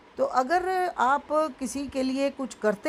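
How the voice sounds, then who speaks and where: A woman's high-pitched voice with ordinary pitch variation over noticeable background noise. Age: 70s. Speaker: school founder and social activist. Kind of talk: interview.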